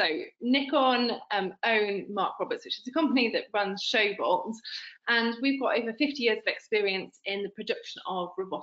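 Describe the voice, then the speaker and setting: This woman has a fairly high pitch and lively intonation. She speaks at a moderate pace. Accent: strong British. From United Kingdom. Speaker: product representative. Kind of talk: business webinar presentation. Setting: online webinar.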